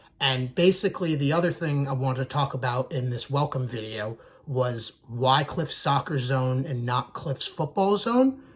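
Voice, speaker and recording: An American-accented man speaks at a moderate pace with a fairly high pitch and ordinary pitch variation. His somewhat breathy voice moves along with hardly any pauses. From United States. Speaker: soccer YouTuber, Arsenal fan. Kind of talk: casual channel introduction monologue.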